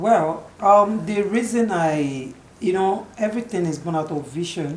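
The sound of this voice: With audible room echo, the voice has lively intonation, a slightly mellow tone and a fairly slow pace. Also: woman, fairly low pitch for a woman.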